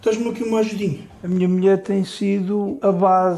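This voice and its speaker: A man's high-pitched voice with a dark, mellow tone at a fairly slow pace. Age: 60s. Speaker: IT technician with OCD. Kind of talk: interview testimony.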